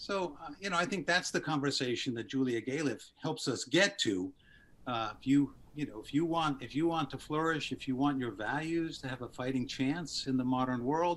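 A man at a moderate pace with ordinary pitch variation, over light background noise. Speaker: podcast guest. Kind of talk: interview answer. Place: home room. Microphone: video call.

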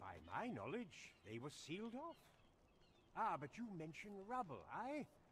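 A man in a put-on character voice talks at a fairly slow pace, with high pitch, very wide pitch swings and a fairly bright tone.

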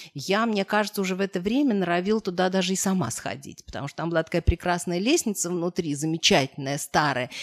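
A woman's fairly low voice, very fast with hardly any pauses, lively in intonation, over a quiet background. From Moscow, Russia; Russia. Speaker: historian; guest. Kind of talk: interview talk. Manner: halting. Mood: warm, amused. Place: meeting room. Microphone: podium.

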